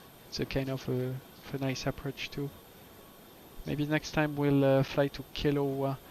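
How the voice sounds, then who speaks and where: A man speaks in a French accent with a fairly high pitch. His delivery is a flat monotone at a moderate pace. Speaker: flight sim streamer. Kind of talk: casual chat. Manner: halting.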